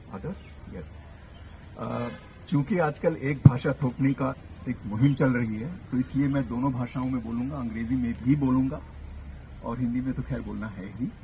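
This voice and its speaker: A man's dark, mellow voice at medium pitch, with vocal fry, big swings in loudness, ordinary pitch variation and long, frequent pauses. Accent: Kannada. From Hindi-speaking north India. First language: Kannada (speaking Hindi). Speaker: professor. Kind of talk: public lecture. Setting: outdoor public meeting with audience.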